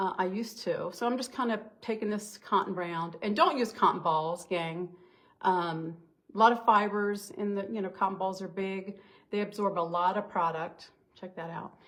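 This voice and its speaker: A woman talks in a normal speaking voice at medium pitch. Her pace is moderate. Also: fairly even intonation. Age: 60s. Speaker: beauty consultant. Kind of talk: makeup tutorial. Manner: casual, chatty.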